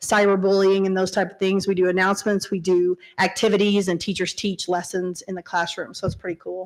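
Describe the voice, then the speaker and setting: A woman talks at a fairly quick pace and medium pitch. The recording is very clean, with a silent background. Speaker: school district technology director. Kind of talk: board meeting presentation. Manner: fast.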